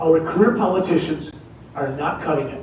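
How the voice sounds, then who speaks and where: Pitched high for a man, his voice carries audible room echo over noticeable background noise. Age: 60s. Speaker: political candidate and family doctor. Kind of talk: campaign speech. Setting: university event with audience.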